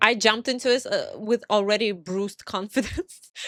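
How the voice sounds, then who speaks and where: Over music in the background, a woman speaks at a moderate pace and medium pitch. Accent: Russian. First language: Russian. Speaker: pixel artist. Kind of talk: casual commentary. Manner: halting.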